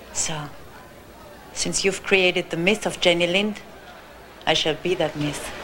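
A woman with a fairly low pitch and a Spanish accent talks at a fairly slow pace with fairly even intonation. Long, frequent pauses break her speech, with crowd noise in the background. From Colombia. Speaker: school board member. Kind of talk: interview.

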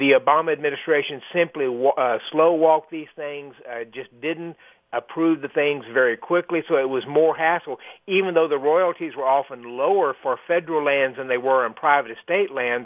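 In a normal speaking voice, a man talks at a moderate pace and fairly high pitch with ordinary pitch variation and hardly any pauses. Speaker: energy industry expert. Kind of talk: interview.

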